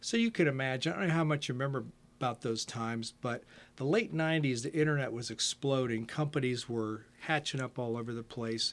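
At a fairly quick pace, a man talks in a normal speaking voice with a medium pitch and ordinary pitch variation. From Ohio, US Midwest. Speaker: retired computer programmer and musician. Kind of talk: casual interview.

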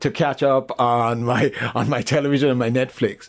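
An unremarkable speaking voice at a moderate pace. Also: man. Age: 60s. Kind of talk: interview, personal testimony.

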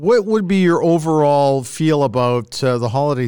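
In a dark, mellow tone, a man speaks at a moderate pace and fairly high pitch with very wide pitch swings. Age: 60s. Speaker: podcast host, former radio broadcaster. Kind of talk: casual chat.

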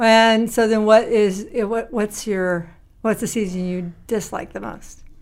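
A woman's fairly high voice at a fairly slow pace, fairly even intonation, an ordinary speaking voice, very clean recording with a silent background. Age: 50s. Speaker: church deacon. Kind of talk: casual chat.

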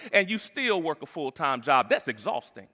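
Bright and sharp in tone, a man talks at a fairly quick pace.

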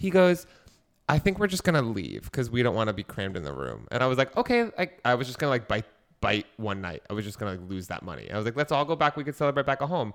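A very clean recording with a silent background, a man's medium-pitched voice at a very fast pace, with vocal fry and very wide pitch swings. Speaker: podcast co-host. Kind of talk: casual comedic chat. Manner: animated, excitable.

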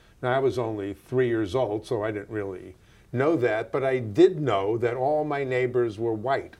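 A man at medium pitch and a moderate pace, a plain, everyday voice with ordinary pitch variation. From New York, US. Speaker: community organizer and discussion moderator. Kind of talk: moderated conversation across generations, recorded live.

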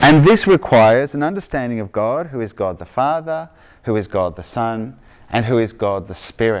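On a very clean recording with a silent background, a man speaks at a moderate pace in an Australian accent, with a medium-pitched voice and very wide pitch swings. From Victoria, Australia; grew up in Argentina. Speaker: preacher giving a sermon. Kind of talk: conversational sermon, casual asides.

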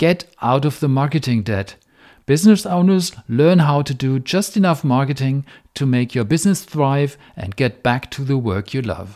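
With a German accent, this man talks at a moderate pace in a dark, mellow, fairly high voice with lively intonation, on a very clean recording with a silent background. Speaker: software engineer and author. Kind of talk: monologue podcast snippet.

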